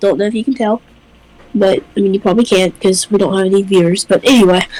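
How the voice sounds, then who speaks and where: Noticeable background noise fills the clip. A woman talks over it at a fairly quick pace. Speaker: gaming youtuber. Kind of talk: casual chat.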